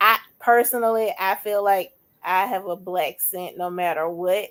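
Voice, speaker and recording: Her intonation holds fairly even. This woman's pitch lands in the middle range. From Alabama, Bessemer near Birmingham. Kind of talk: casual interview conversation.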